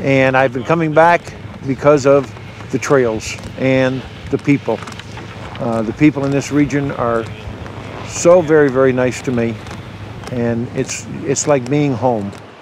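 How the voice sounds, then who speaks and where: A man's fairly slow, fairly even delivery, dry with no echo, over noticeable background noise. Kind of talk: interview answer. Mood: warm, fond. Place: street. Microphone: lapel.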